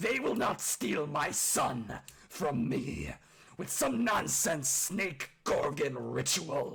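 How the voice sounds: A man's slow, put-on character voice, fairly high in pitch and fairly bright in tone, husky, gruff and growling, with vocal fry and very wide pitch swings.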